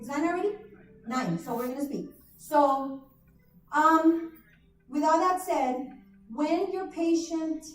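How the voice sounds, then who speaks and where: Speaking at a very slow pace with long, frequent pauses, a woman's extremely high voice swings widely in loudness amid audible room echo. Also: ordinary pitch variation. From South Texas border (McAllen/Reynosa). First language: Spanish. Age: 40s. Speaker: nurse practitioner, conference presenter. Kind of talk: conference talk. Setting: stage with audience, livestreamed.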